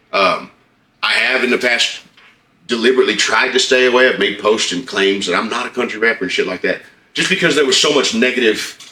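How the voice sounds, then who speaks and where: Medium pitch, an American accent, a man's voice. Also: ordinary pitch variation, fairly quick pace. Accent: twang. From Oklahoma. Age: 30s. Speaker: rapper. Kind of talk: interview.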